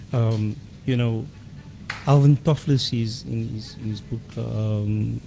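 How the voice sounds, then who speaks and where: A man at a medium pitch, speaking at a fairly slow pace with ordinary pitch variation, against noticeable background noise. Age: 60s. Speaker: interview guest. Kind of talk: radio interview. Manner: hesitant with fillers and repetitions.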